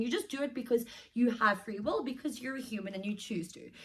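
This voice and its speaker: The woman speaks in an animated tone at a high pitch. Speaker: self-help vlogger. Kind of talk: casual talking-head advice. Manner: fast.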